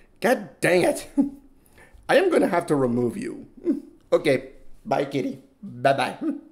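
Slowly, a man talks with big pitch swings.

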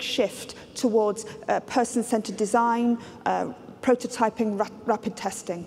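A woman talks over light background noise. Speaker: keynote speaker. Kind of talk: lecture. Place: stage.

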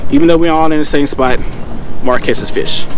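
With music in the background and a dry sound with no echo, a man speaks at a fairly quick pace with fairly even intonation. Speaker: fishing vlogger. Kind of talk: casual vlog chat. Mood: joking, playful. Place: boat. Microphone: lapel.

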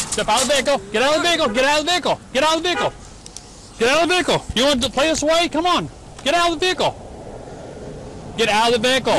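Projecting a raised voice at an extremely high pitch, a man talks at a very fast pace broken by long, frequent pauses, with light background noise and a dry sound with no echo. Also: ordinary pitch variation, very even loudness. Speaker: police sergeant. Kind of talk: traffic stop commands to a driver. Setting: outdoors. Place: street. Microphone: lapel.

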